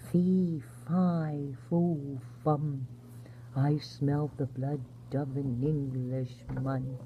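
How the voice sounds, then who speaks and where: Over clear background noise, a woman performs a put-on character voice with a very deep, low pitch at a very slow pace. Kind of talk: sleep story. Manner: soft-spoken, gentle.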